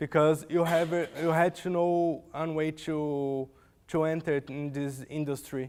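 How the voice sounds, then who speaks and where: With a Portuguese accent, the speaker talks at a fairly slow pace in a monotone, flat intonation on a very clean recording with a silent background. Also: man, fairly high pitch for a man. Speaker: software developer. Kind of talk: conference talk. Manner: halting.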